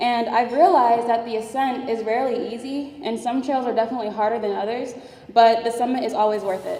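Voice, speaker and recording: Speaking at a very fast pace, a woman with a fairly high pitch is heard amid audible room echo and noticeable background noise. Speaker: engineering student, award winner. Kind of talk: award speech. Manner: conversational, with fillers.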